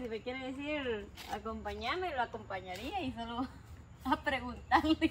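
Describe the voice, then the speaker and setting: A woman speaks at a moderate pace in a high voice. Noticeable background noise runs underneath. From outside this area. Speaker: vlogger. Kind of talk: casual chat.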